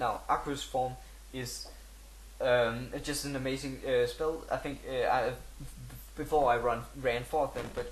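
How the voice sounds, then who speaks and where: In a room with audible echo, a man with a non-native accent talks at a moderate pace. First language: not English. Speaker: gaming video creator. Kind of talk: tutorial. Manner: halting, many fillers.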